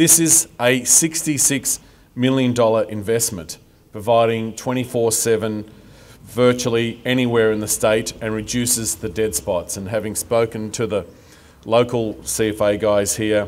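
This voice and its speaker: Speaking at a very slow pace, a man lets his pitch rise and fall in an ordinary way. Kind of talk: formal speech. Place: street. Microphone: podium.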